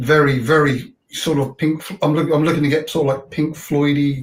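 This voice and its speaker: Fairly slow and somewhat breathy, a man speaks at a fairly high pitch. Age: 60s. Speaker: motorcycle vlogger and hobby guitarist. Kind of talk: casual chat.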